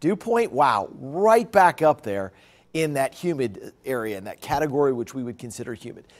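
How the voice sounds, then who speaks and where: A man speaks at a moderate pace with very wide pitch swings and big swings in loudness. The background is quiet. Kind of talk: weather forecast presentation. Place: studio. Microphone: lapel.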